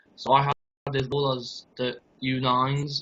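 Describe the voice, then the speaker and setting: A man with a North Welsh accent speaks at a medium pitch in a monotone, flat intonation. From North Wales. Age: 20s. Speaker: youth football coach. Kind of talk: interview.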